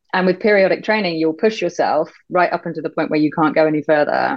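Speaking at a very fast pace, a woman with a British accent uses a very deep, low pitch. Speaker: banking executive and CEO. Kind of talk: casual interview chat.

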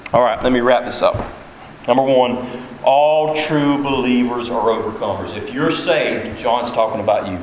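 A man speaks at a moderate pace with a medium pitch and ordinary pitch variation. Noticeable background noise sits behind him. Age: 40s. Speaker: pastor. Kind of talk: sermon. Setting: church.

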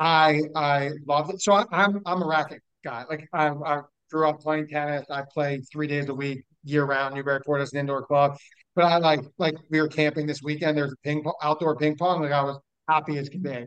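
The speech moves at a fairly quick pace. It carries an American accent. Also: man, fairly high pitch for a man. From Newton, Massachusetts. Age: 40s. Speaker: podcast host. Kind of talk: casual chat. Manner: animated.

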